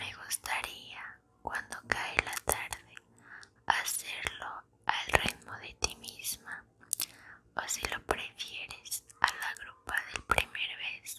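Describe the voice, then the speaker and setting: A woman's very slow whisper carries her words. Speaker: ASMR content creator. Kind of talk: whispered poetry reading for sleep. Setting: ASMR video, close microphone. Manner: whispered, soft. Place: home room. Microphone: studio mic.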